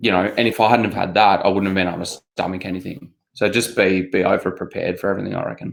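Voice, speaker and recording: A man with an Australian accent and a fairly low pitch speaks very fast with hardly any pauses and monotone, flat intonation. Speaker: obstacle race athlete. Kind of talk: casual chat.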